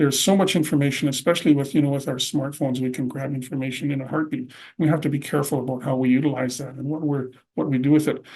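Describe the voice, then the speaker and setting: Speaking at a very fast pace, a man with a Canadian prairie accent has a fairly high, somewhat breathy voice and fairly even intonation. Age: 60s. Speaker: presenter. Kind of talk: lecture.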